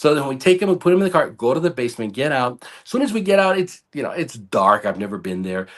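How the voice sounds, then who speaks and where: Speaking very fast, a man with a fairly high pitch makes very wide pitch swings. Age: 50s. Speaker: ICU nurse. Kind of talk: storytelling in casual interview. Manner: animated.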